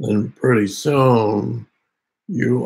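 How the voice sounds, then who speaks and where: In a raspy, put-on character voice, a man with a medium pitch speaks at a very slow pace. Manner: slow, low in tone.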